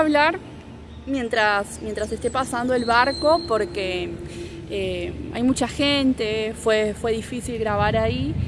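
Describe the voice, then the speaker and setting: Very slow speech with ordinary pitch variation, a dry sound with no echo and noticeable background noise. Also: woman. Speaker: Spanish teacher. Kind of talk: casual travel vlog to camera. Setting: outdoors, background noise. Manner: slow and clear, improvised. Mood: relaxed, friendly. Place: open country. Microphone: phone near.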